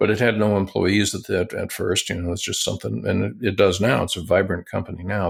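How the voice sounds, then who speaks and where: A man's fairly low voice carries vocal fry in a very clean recording with a silent background. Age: 60s. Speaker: tech company founder and internet pioneer. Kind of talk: interview.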